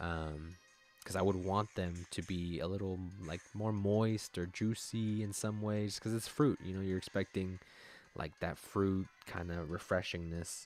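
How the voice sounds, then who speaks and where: Here is a man with a very deep, low voice. His intonation stays fairly even. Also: fairly slow pace. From United States, Mexican family. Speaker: gaming live streamer. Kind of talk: casual chat with live chat. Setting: live stream.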